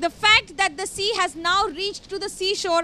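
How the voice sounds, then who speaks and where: A woman's raised, projected voice, bright and sharp in tone, at a moderate pace with fairly even intonation, dry with no echo, over light background noise. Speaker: field news reporter. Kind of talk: live news report. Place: street. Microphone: handheld.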